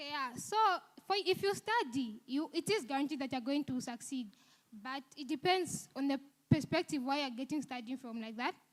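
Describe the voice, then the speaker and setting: Her high pitch and lively intonation mark this woman's voice. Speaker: university student speaker. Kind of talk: seminar talk. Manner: fast; swallows words.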